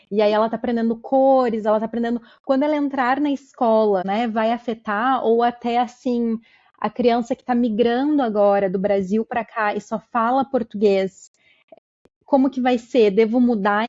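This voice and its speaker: A woman with an unremarkable speaking voice, fairly high in pitch, fairly even in intonation, at a moderate pace. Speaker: podcast host. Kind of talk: podcast interview.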